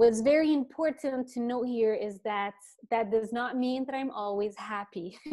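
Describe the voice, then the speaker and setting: A woman speaks in a fairly high pitch. She has a French accent. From eastern Canada, French-speaking. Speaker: laughter workshop facilitator. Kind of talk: interview talk. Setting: video call.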